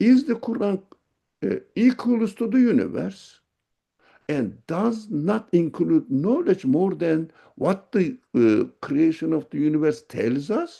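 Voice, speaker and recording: A man with a dark, mellow tone, high pitch, very wide pitch swings and a very slow pace. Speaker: religious teacher. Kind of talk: lecture.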